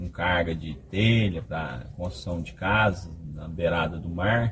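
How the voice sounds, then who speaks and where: A man talks fairly slowly while noticeable background noise is present. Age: 50s. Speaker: truck driver. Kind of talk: casual interview.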